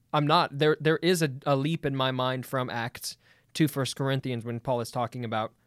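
A man with a normal speaking voice talks at a medium pitch and a fairly quick pace. The recording is very clean with a silent background, and the sound is dry and close with no echo. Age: 20s. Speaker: church worship director. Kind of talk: casual theological debate.

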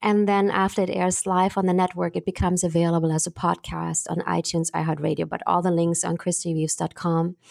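In a very clean recording with a silent background, a woman speaks with a German accent and fairly low pitch. She goes very fast with hardly any pauses and very even loudness. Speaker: actress and film producer. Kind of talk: interview. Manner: animated.

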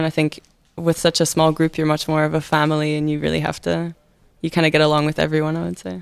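The speaker talks in a Scottish accent at a very fast pace with monotone, flat intonation. The recording is very clean, with a silent background. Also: woman. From Scotland. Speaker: university student. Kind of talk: casual interview.

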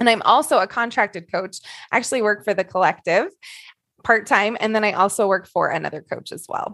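A woman talks at a fairly quick pace in a fairly high pitch against a quiet background. Hers is a plain, everyday voice with ordinary pitch variation. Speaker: coach. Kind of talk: group discussion.

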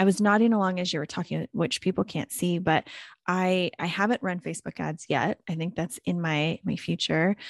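With an ordinary speaking voice, a woman talks at a fairly low pitch and moderate pace, her pitch varying in an ordinary way, the sound dry and close with no echo over a quiet background. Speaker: podcast host. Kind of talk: podcast interview, conversational.

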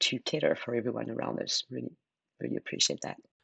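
A woman speaks at a very fast pace with a French accent, the sound dry and close with no echo. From France. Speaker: marketing executive. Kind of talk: podcast interview.

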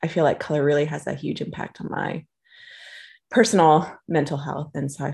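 Against a quiet background, a woman with an American accent and a very deep, low voice talks at a fairly quick pace. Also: ordinary pitch variation. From Austin, Texas, US. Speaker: magazine founder and knitter.

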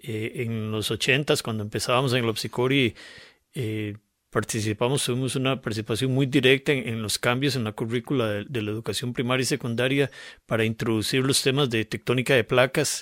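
On a very clean recording with a silent background, a man speaks fairly quickly at a medium pitch, the sound dry and close with no echo. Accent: Costa Rican. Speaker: geologist. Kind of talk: radio interview conversation. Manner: explanatory, with frequent repetitions.

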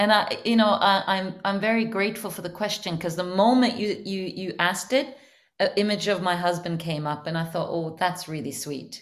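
At a moderate pace, a woman speaks in a normal speaking voice with ordinary pitch variation. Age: 50s. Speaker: life coach. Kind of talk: interview podcast. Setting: video call.

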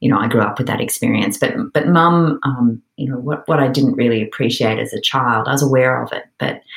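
A woman with an Australian accent, her pitch very deep and low, at a fairly quick pace with hardly any pauses and ordinary pitch variation. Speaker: author. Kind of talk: interview chat.

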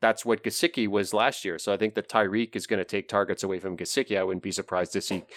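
The speaker is a man with a fairly low voice. His words come out very fast. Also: dry, close sound with no echo, very clean recording, silent background. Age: over 25. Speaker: sports betting analyst. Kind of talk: casual chat.

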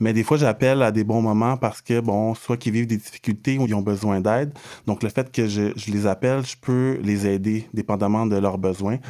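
A man's fairly low, dark and mellow voice at a moderate pace, with fairly even intonation, on a very clean recording with a silent background. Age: 30s. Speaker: social integration counselor. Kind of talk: interview.

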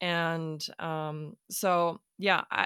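With a German accent, a woman speaks in a very deep, low voice with a bright, sharp tone, the sound dry and close with no echo on a very clean recording against a silent background. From Germany, Hamburg. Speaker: startup founder. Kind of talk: interview conversation.

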